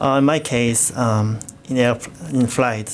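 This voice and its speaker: A man with a Korean accent at medium pitch, speaking at a very slow pace over noticeable background noise. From South Korea. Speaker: co-host. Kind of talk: radio show chat.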